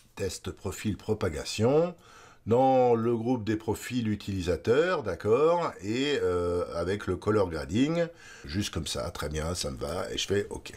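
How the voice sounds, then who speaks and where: Swinging very widely in pitch around a medium level, a man speaks at a very slow pace. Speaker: photography tutorial host. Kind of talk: tutorial. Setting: screen-recorded video tutorial. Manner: halting, many filler words.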